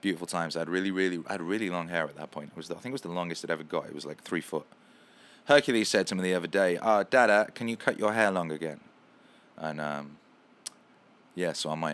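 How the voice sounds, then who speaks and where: In a London accent, the speaker talks at a very fast pace in an animated tone with ordinary pitch variation and long, frequent pauses, on a very clean recording with a silent background. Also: man, very deep, low pitch for a man. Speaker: musician and livestream host. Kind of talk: casual livestream chat.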